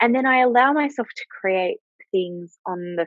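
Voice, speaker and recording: Moderate pace, in an Australian accent. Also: woman. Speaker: money mindset coach and author. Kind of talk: interview.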